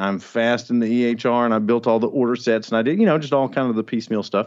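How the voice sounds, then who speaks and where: With a Southern US accent, a man talks at a very fast pace, his medium pitch showing ordinary variation. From Arkansas. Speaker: physician and health informatics leader. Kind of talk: casual interview chat. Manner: animated, friendly.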